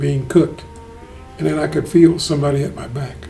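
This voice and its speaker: A man against noticeable background noise. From Kentucky. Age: 80s+. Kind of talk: interview answer. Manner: tires easily.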